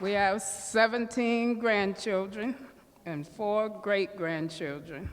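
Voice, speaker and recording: A woman speaks at a very slow pace. Her pitch is medium. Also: ordinary pitch variation. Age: 70s. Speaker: community member. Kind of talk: speech at community open house. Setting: community center event with audience.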